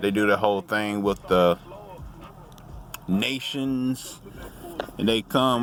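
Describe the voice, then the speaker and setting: Over noticeable background noise, a man speaks in a relaxed tone. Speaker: vlogger. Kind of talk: casual monologue.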